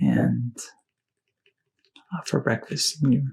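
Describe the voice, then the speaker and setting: Soft-spoken, a man talks at a very slow pace. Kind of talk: ASMR soft-spoken talk.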